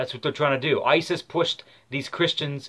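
The speech moves at a moderate pace with fairly even intonation. The background is quiet. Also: man. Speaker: political video blogger. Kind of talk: casual vlog rant. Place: home room. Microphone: webcam.

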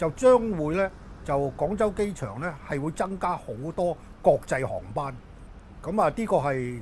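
A man speaks fairly slowly at a high pitch, his voice swinging very widely up and down. Long, frequent pauses break up his speech over light background noise. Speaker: aviation policy commentator. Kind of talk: interview. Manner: halting, many filler words. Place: office.

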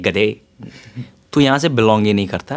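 Over a quiet background, a man with a Bihari accent talks at a moderate pace. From Bihar, India. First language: Bhojpuri (speaking Hindi). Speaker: author and tech entrepreneur; guest. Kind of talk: interview. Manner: Hindi-English code-switching. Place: home room. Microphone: handheld.

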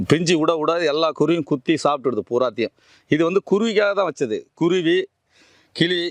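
A man's ordinary speaking voice, fairly high in pitch, with ordinary pitch variation, a dry, close sound with no echo, and a quiet background. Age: 50s. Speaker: organic farmer. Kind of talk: casual explanatory talk.

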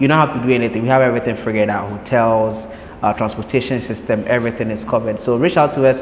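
A man with a medium-pitched voice talks at a very fast pace over noticeable background noise. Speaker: podcast host. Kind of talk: interview.

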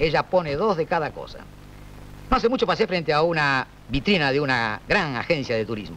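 A man's fairly high, bright, sharp voice with vocal fry, very wide pitch swings and a fairly quick pace over light background noise. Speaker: comedian. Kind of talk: comic stand-up monologue. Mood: dry, wry humor. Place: studio. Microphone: old recording.

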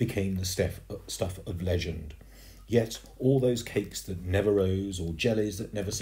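The speaker reads in an unforced voice, and the pitch moves up and down in an ordinary way.

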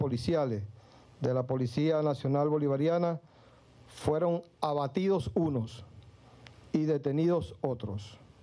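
The speaker is a man using ordinary pitch variation. His pace is fairly slow. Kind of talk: official press statement. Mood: formal and serious. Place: hall. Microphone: podium.

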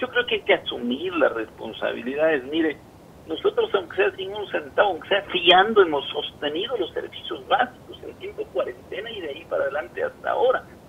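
A man talks at a fairly quick pace with big swings in loudness. Light background noise can be heard. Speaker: remote guest. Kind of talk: interview answer. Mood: earnest, complaining. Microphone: video call.

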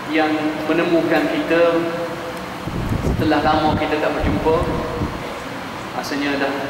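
Loud background noise and audible room echo surround the recording. A man speaks at a moderate pace. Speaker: religious teacher. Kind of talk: sermon. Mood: warm, joking. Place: hall. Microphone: podium.

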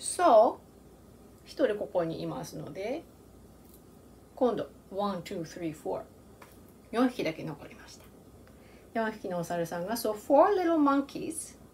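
A woman at medium pitch speaks at a slow pace with big pitch swings, a slightly mellow tone and long, frequent pauses.

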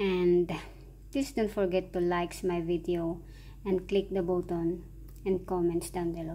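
A woman speaks at a fairly slow pace in a medium pitch. Her tone is dark and mellow. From Philippines. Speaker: vlogger. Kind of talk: cooking tutorial. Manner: casual. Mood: warm, friendly. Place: kitchen.

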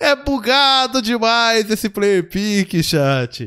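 Very wide pitch swings mark this man's high-pitched voice. His tone is bright and sharp, over a quiet background. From Brazil, Santo André, São Paulo (ABC region). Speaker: gaming youtuber and streamer. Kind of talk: live gameplay commentary. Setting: live stream at home. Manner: animated. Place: home room. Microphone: headset.

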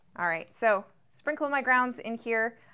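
Her tone is bright and sharp as the woman speaks at a fairly slow pace with ordinary pitch variation. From Louisiana. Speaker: product reviewer. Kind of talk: product review tutorial. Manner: casual, many filler words. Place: studio. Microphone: lapel.

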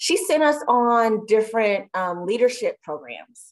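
The speaker has an American accent and an animated tone. The intonation is lively. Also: woman, quiet background. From San Francisco Bay Area, later Texas from early 90s. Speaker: school student services coordinator, activist. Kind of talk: casual interview chat. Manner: animated, laughing often.

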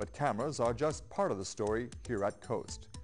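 Faint background music is heard. Over it, a man talks at a moderate speed. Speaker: spokesperson. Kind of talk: PSA spokesperson read to camera. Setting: TV studio. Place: studio.

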